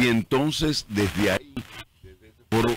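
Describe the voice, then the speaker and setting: Over noticeable background noise, a man speaks at a fairly slow pace with lively intonation and vocal fry. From Dominican Republic. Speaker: radio announcer. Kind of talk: interview answer. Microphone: studio mic.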